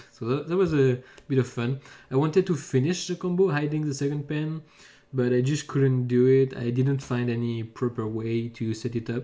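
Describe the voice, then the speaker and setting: Speaking with a French accent at a moderate pace, a man has a medium pitch, ordinary pitch variation and a dark, mellow tone. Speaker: pen spinner. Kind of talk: video commentary. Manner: halting.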